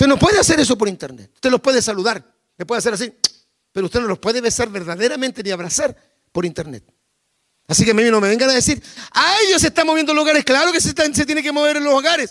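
At a very fast pace, a man speaks with an extremely high pitch and very wide pitch swings. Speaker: pastor. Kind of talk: sermon.

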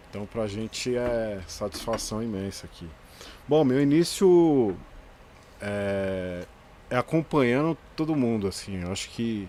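Soft-spoken and very slow, a man uses a medium pitch, a dark, mellow tone and lively intonation, with long, frequent pauses. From Greater São Paulo, Brazil. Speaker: graffiti artist and educator. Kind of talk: casual interview chat.

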